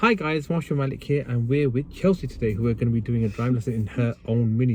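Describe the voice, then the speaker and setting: With a West Yorkshire accent, a man rushes along at a very fast pace with hardly any pauses. His pitch is medium, with ordinary variation. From northern England, Bradford, West Yorkshire. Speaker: driving instructor. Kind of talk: driving lesson instruction. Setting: in a car.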